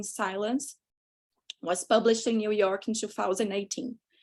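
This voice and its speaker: A woman with a Brazilian accent talks at a fairly quick pace, her intonation fairly even. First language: Portuguese. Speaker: panel moderator. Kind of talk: panel moderation. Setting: video call.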